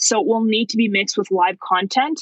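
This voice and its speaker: An unremarkable speaking voice with a Canadian accent and lively intonation comes through dry and close, with no echo. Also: woman. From Canada, Vancouver. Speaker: marketing agency founder. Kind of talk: casual interview.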